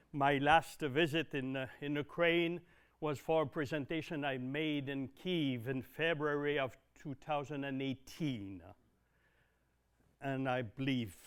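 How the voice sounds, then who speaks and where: At a fairly slow pace, a man with a medium-pitched voice speaks in a Quebec accent. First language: French. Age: 60s. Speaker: dairy consultant. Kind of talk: presentation. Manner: halting, many fillers.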